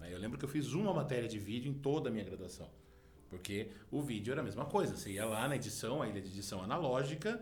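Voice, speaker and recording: Very fast speech with lively intonation, audible room echo and noticeable background noise. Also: man. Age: 40s. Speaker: journalism professor. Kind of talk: interview.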